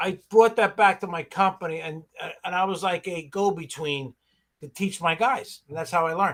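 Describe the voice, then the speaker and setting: A high-pitched man with a New York accent, moderate pace, ordinary pitch variation and big swings in loudness. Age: 60s. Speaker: pressure washing business owner. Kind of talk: casual chat.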